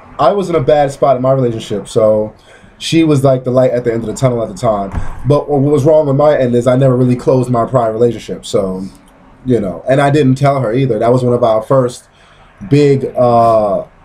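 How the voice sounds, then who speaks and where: At a fairly quick pace, a man with an American accent uses a normal speaking voice, medium pitch and ordinary pitch variation. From Brooklyn, New York. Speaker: vlogger. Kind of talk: casual chat. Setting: outdoors on a porch.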